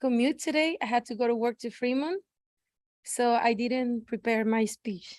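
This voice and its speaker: Speaking at a fairly slow pace, a woman with a high pitch and a Spanish accent sounds dry and close, with no echo. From Mexico, Guadalajara. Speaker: public commenter. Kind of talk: unprepared public comment. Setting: city council meeting.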